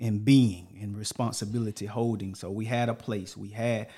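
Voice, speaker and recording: With a Texan accent, a man speaks fairly slowly at a fairly low pitch, his tone dark and mellow and his intonation fairly even. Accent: Texan Southern US. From Texas. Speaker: podcast host, Navy veteran father. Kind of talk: casual interview.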